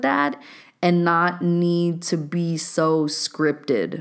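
Heard on a very clean recording with a silent background, a woman speaks at a fairly low pitch with ordinary pitch variation. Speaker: life coach and podcast host. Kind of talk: motivational podcast monologue. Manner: animated; casual slangy delivery.

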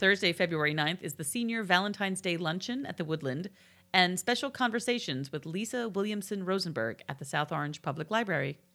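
Lively in intonation and bright and sharp in tone, a woman with a New Jersey accent talks at a fairly quick pace and medium pitch on a very clean recording with a silent background. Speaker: local community podcast co-host. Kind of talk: reading an events calendar; casual chat.

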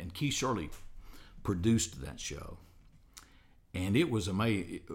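Audible room echo surrounds a man speaking at a moderate pace. His voice is somewhat breathy, with ordinary pitch variation. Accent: Southern US. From US South, Alabama. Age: 60s. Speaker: radio host. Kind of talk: casual interview. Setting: studio.

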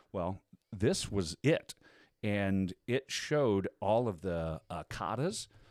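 With an American accent and some vocal fry, a man speaks with lively intonation over a dry, close sound that has no echo. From US Midwest. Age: 50s. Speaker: voice-over artist and musician. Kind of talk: casual chat. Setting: studio.

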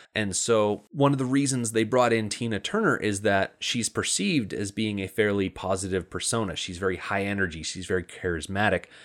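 A man with an American accent talks at a fairly quick pace with hardly any pauses, fairly low in pitch with ordinary pitch variation. It is an ordinary speaking voice, in a very clean recording with a silent background. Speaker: podcast co-host. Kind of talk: casual chat.

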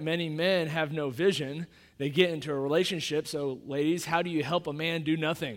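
A man with a Midwestern American accent talks at a fairly quick pace, with a fairly high pitch and fairly even intonation. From Kansas City, Missouri. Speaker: pastor. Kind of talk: sermon. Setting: church.

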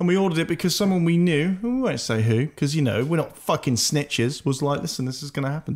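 A man with a British accent speaks at a very fast pace, using ordinary pitch variation. The recording is very clean, with a silent background. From Britain. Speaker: podcast host. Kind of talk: casual chat.

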